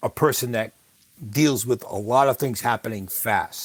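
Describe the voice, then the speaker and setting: Moving at a moderate pace, the speaker uses an ordinary speaking voice with ordinary pitch variation. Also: man. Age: 60s. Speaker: podcast host, guest on interview show. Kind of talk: interview conversation. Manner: conversational with fillers.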